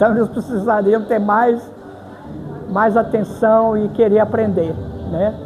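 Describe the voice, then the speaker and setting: A fairly high-pitched woman's voice with audible room echo and noticeable background noise. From Brazil, Varginha, southern Minas Gerais. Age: 80s+. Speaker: crochet artisan. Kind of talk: interview.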